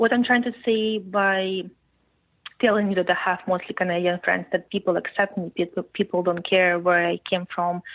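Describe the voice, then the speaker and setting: At a moderate pace, a woman with a Russian accent speaks at a medium pitch. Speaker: podcast guest, journalism student. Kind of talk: interview conversation.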